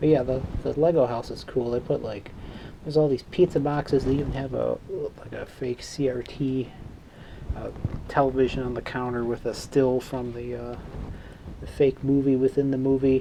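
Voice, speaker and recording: With a slight Chicago accent, a man of medium pitch speaks in a monotone, flat intonation, his loudness swinging widely amid noticeable background noise. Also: moderate pace. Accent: dry Midwestern, slight Chicago. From Chicago, south side (Morgan Park). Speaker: hobbyist electronics repairer, channel owner. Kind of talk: casual workbench vlog. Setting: home workbench with Christmas music playing. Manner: casual, rambling with fillers.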